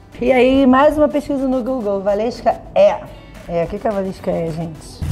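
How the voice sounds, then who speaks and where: Faint music plays in the background as a woman speaks with a Rio de Janeiro accent. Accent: Carioca Brazilian Portuguese. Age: 30s. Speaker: funk singer. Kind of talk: casual interview answer. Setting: at home. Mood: playful, amused. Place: home room.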